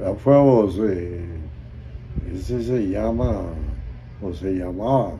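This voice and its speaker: With lively intonation, the speaker goes very slowly and pauses long and often, amid audible room echo and noticeable background noise. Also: man. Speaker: war veteran. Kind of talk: testimony. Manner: halting.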